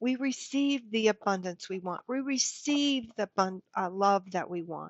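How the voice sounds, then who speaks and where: With lively intonation, a woman talks fairly slowly at a medium pitch. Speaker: spiritual channel host. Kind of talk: spiritual talk to camera. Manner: holds back her voice.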